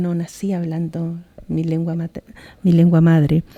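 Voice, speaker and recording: A woman with a Chilean accent, dark and mellow in tone, dry and close with no echo. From southern Chile, Mapuche community. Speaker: poet. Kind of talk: talk. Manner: halting, with many repetitions.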